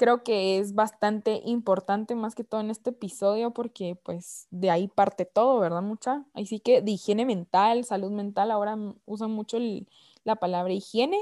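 A woman speaks at a fairly high pitch with a dark, mellow tone and fairly even intonation on a very clean, dry, close recording with a silent background and no echo. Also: moderate pace. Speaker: podcast host. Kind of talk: casual chat.

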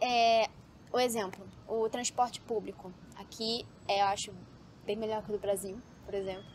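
A woman with a medium pitch speaks at a moderate pace and fairly even intonation. She leaves long, frequent pauses. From Brazil, Rio de Janeiro. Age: 20s. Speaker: medical student. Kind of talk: casual interview. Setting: outdoors, building rooftop.

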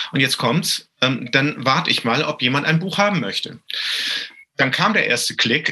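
A man talks in a normal speaking voice at a moderate pace. His pitch varies in an ordinary way. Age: 50s. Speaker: trade association executive. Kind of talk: panel discussion. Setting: home office, remote.

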